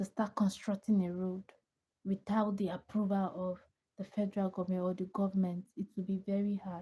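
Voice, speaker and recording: Somewhat breathy and dark, mellow in tone, a woman's medium-pitched voice stays monotone and flat. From Nigeria. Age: 20s. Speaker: livestreamer. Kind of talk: casual chat.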